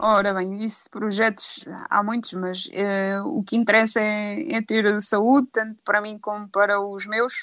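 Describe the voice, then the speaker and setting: A woman with an unremarkable speaking voice talks at a fairly slow pace with hardly any pauses. Her pitch is fairly high and her intonation fairly even. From Aveiro district, Portugal. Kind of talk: casual chat.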